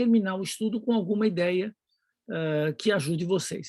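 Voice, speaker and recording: The speaker keeps a moderate pace over a quiet background. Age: 60s. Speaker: Bible teacher / preacher. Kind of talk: lecture. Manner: halting.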